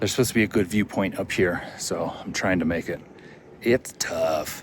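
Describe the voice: Using a put-on character voice, a man talks at a moderate pace with a raspy, very deep, low pitch over light background noise.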